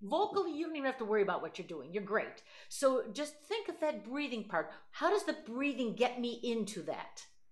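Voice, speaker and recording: Against a quiet background, a woman with a high pitch and a warm tone speaks fairly quickly with very wide pitch swings. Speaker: voice teacher. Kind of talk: voice lesson. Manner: warm, effusive. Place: home room. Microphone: video call.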